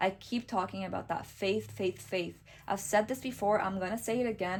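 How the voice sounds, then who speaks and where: A woman with a non-native accent talks at a fairly quick pace, with vocal fry. Her pitch is medium and varies in an ordinary way. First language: not English. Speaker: tarot reader. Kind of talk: tarot reading monologue. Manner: warm, reassuring.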